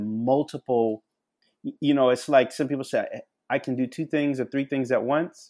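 A man talks in a normal speaking voice at medium pitch. His intonation stays fairly even. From Charleston, South Carolina. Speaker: national security expert. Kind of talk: podcast interview.

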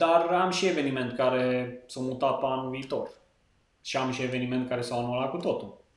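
At a moderate pace, a man talks in a normal speaking voice. His pitch is medium and his intonation fairly even. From western Romania, Lipova near Arad. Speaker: wedding videographer. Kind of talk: casual interview chat.

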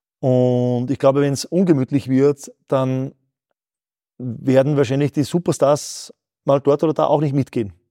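A man speaks at a fairly slow pace in a dark, mellow tone, his fairly high pitch held to fairly even intonation, with a dry, close sound and no echo. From Austria, Mühlviertel, Upper Austria. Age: 40s. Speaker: company founder. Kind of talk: interview.

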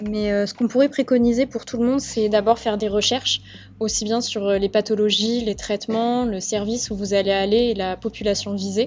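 A woman speaks at a fairly quick pace and a fairly high pitch. Her intonation is monotone and flat. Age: 20s. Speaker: nursing student. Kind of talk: casual chat.

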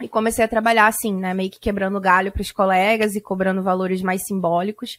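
A woman talks at medium pitch with ordinary pitch variation, in a plain, everyday voice. The recording is very clean, with a silent background. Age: 30s. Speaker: translator and course creator. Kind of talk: casual interview.

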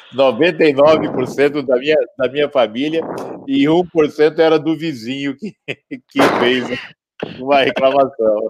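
At a very slow pace with long, frequent pauses, a man speaks in a fairly high voice with fairly even intonation. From Campo Grande, Brazil. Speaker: entrepreneur, founder of a consumer complaints website. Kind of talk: interview.

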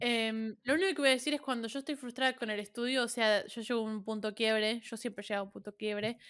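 In a very clean recording with a silent background, a woman with a Rioplatense accent talks very fast at a fairly high pitch, with ordinary pitch variation and hardly any pauses. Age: 20s. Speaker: podcast co-host. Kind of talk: casual chat.

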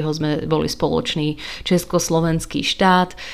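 Speaking fairly slowly with a Hungarian accent, a woman uses a fairly low pitch and ordinary pitch variation. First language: Hungarian (speaking Slovak). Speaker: book podcaster. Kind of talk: solo podcast talk. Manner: casual, hesitant fillers.

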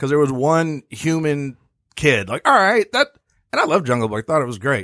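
A man with a normal speaking voice talks at a moderate pace and a fairly high pitch, recorded very cleanly, dry and close with no echo, over a silent background. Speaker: podcast host. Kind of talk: casual chat.

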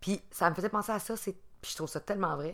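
The speaker has a Quebec accent, captured in a very clean recording with a silent background. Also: woman. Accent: Québécois French. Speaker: podcast co-host. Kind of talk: casual chat.

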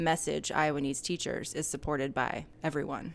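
A woman with an American accent talks at a fairly quick pace, her pitch very deep and low, with vocal fry. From Atlanta, US South. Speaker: podcast host. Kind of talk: casual interview chat; scripted outro. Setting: on location in a store.

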